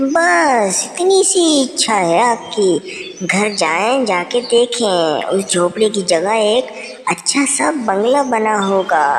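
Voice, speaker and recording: A cartoonish character voice, female-sounding and fairly high-pitched, at a very slow pace over clear background noise. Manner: gentle, courteous.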